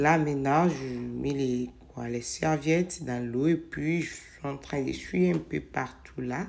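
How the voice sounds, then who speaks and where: A woman speaks at a very slow pace with a very deep, low pitch. Her intonation is lively, with big swings in loudness. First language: not French (speaking French). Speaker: home cleaning vlogger. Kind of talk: casual vlog narration while cleaning. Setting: home kitchen. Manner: hesitant, with fillers.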